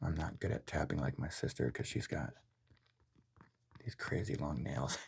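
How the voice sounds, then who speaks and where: The voice is soft-spoken with a relaxed tone. It moves at a moderate pace. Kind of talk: soft-spoken ASMR unboxing review. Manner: soft-spoken, relaxed rambling.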